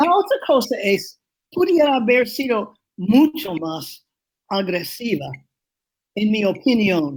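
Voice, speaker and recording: A woman talks at a very slow pace in a strong New England accent. Her pitch swings very widely. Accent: strong New England American accent in Spanish. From New England, US. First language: English (speaking Spanish). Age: 80s+. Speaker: urban planner. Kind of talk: interview. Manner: halting.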